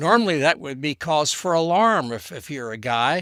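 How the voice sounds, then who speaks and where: A man with an American accent, fairly high in pitch, bright and sharp in tone, on a very clean recording with a silent background and a dry, close sound with no echo. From Texas. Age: 70s. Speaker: podcast guest. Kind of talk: casual chat. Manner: halting, many repetitions.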